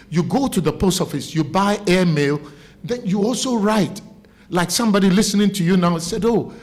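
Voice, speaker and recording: A man with a Ghanaian accent speaks at a high pitch and a moderate pace, with ordinary pitch variation and very even loudness. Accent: Ghanaian Ewe village accent, still noticeable. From Ghana, Volta Region (Keta area). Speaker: broadcaster. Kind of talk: interview. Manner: animated.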